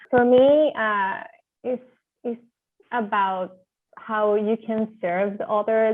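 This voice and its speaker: A woman speaks in a Spanish accent at a medium pitch. Her pace is fairly slow and her intonation fairly even. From Venezuela. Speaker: architecture graduate student. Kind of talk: interview. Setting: video call.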